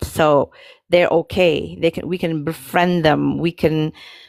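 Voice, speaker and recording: Dry and close with no echo, a woman with an Ethiopian accent speaks fairly slowly at a fairly low pitch with ordinary pitch variation. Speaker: live stream panelist. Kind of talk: panel debate. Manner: halting.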